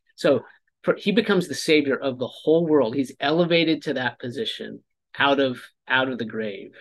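Talking at a fairly quick pace, a man with a fairly high pitch uses an ordinary speaking voice with lively intonation. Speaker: podcast host. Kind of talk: casual chat.

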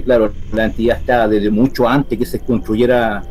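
A man with a medium pitch speaks at a very fast pace with fairly even intonation. There is noticeable background noise. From Chile. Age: 40s. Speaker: paranormal investigator. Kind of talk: interview. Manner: halting.

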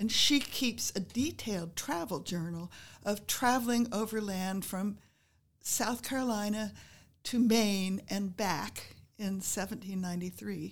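A woman's somewhat breathy voice at medium pitch, fairly slow in pace, with ordinary pitch variation, on a very clean recording with a silent background. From US Midwest and Northeast, moved around as a child. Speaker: retired history professor. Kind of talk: interview.

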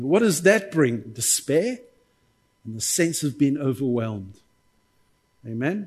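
Somewhat breathy, a man speaks at a fairly slow pace with long, frequent pauses and very wide pitch swings. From South Africa. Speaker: visiting pastor. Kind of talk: sermon. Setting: church with congregation. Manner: preacherly, call-and-response, warm and animated.

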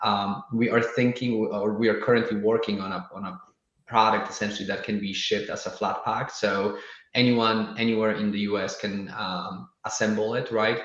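A man with a Polish accent talks at a moderate pace in a fairly low pitch, his intonation monotone and flat. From Poland. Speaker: startup founder. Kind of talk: casual interview. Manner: halting, many fillers.

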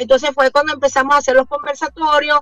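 Using a raised, projected voice, a woman speaks high-pitched and monotone with a bright, sharp tone, the sound dry and close with no echo. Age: 50s. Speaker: keto diet advocate and entrepreneur. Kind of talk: radio interview.

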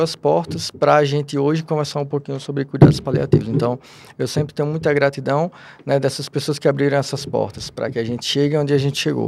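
A man speaks very fast in a fairly high voice. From Rio Grande do Norte, Brazil. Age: 30s. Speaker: palliative care physician. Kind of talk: interview.

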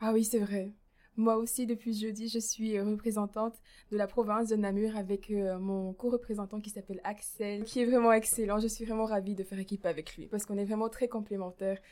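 The voice moves at a fairly quick pace in a monotone, flat intonation, with a dark, mellow tone. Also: woman, fairly high pitch for a woman. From Belgium, Mouscron. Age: young. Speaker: university student and youth political representative. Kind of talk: casual conversation.

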